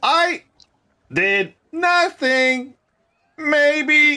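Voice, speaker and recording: Someone uses a put-on character voice pitched high. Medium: actual play. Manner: broken mimicry.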